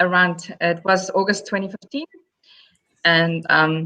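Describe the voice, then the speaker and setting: The voice has a bright, sharp tone and a South African accent, moving at a very slow pace. The sound is dry and close, with no echo. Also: woman. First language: Afrikaans. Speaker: primary school teacher. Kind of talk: interview.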